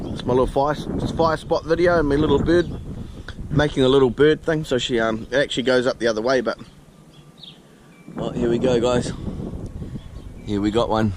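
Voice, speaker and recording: Speaking with a New Zealand accent, a man of medium pitch talks at a fairly quick pace with ordinary pitch variation and long, frequent pauses, over noticeable background noise. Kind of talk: casual talk to camera. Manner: hesitant, casual.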